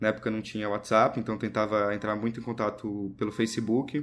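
A man's unremarkable speaking voice, medium in pitch and at a fairly quick pace. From Brazil, interior of São Paulo state (Serra Negra). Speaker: documentary filmmaker. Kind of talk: casual interview.

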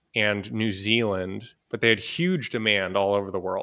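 A man has a plain, everyday voice with an American accent and a fairly low pitch. He speaks at a moderate pace with ordinary pitch variation. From Boston, US. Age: 20s. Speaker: entrepreneur, digital nomad. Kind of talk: interview.

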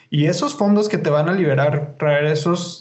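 A man with a fairly high pitch is heard with audible room echo and noticeable background noise. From Mexico, Chihuahua. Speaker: podcast host. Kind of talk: casual chat.

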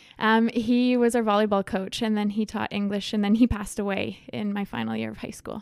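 A woman with a Canadian accent talks at a fairly quick pace with hardly any pauses. Her medium-pitched voice stays monotone and flat. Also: big swings in loudness. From Saskatchewan, rural grain farm near Leslie. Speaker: travel content creator. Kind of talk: interview.

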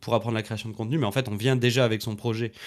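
The recording is very clean against a silent background. The speaker is a man. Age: 20s. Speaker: entrepreneur and trainer for content creators. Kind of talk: casual interview. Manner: hesitant, many fillers.

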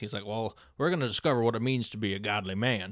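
A man's fairly low, a normal speaking voice, at a fairly quick pace with ordinary pitch variation. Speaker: podcast host. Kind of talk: casual chat. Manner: playful, jokey.

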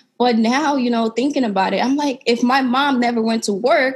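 Speaking with an American accent at a fairly quick pace, a woman keeps a high pitch and fairly even intonation. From Sierra Leone. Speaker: podcast host and entrepreneur. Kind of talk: interview.

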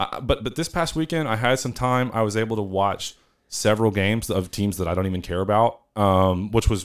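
On a very clean recording with a silent background, a man with a Southern US accent talks at a moderate pace, his fairly low pitch showing ordinary variation. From Northeast Arkansas. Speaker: podcast co-host, university housing staff. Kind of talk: casual chat.

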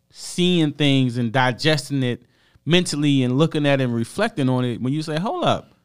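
On a very clean recording with a silent background, a man with a fairly high voice talks at a moderate pace with ordinary pitch variation. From US. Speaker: podcast co-host. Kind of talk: casual chat.

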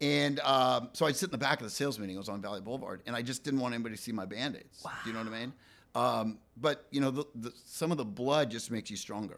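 Very fast speech from a man with vocal fry and ordinary pitch variation. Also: medium pitch for a man. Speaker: real estate team leader. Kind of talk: casual interview chat. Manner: loud.

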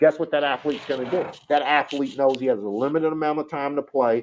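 This man has a plain, everyday voice. His pitch is fairly high, with ordinary pitch variation. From Detroit and Toronto. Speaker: military veteran and entertainment entrepreneur. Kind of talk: interview.

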